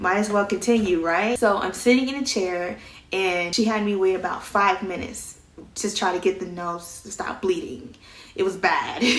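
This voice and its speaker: Woman's voice with audible room echo and noticeable background noise. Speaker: vlogger. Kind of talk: casual storytelling.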